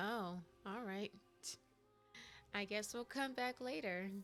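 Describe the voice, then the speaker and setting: With music in the background, a woman speaks at a very slow pace and ordinary pitch variation. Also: medium pitch for a woman. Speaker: video game streamer. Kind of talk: casual gameplay commentary.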